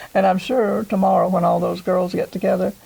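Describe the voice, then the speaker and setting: Fairly quick speech in an American accent, over noticeable background noise. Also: woman. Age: 80s. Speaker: former homecoming queen, interviewee. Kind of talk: interview.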